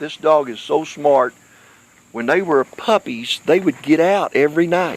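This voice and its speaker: A man with an American accent talks at a fairly slow pace in a fairly high pitch with ordinary pitch variation, in a dry, close sound with no echo. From Kentucky. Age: 60s. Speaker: pet owner livestreamer. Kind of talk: casual livestream chat to viewers. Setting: outdoors.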